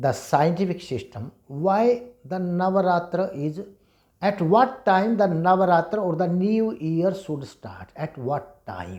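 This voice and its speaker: Speaking at a fairly slow pace, a man has a high voice. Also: ordinary pitch variation. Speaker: Vedic scholar and teacher. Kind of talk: lecture.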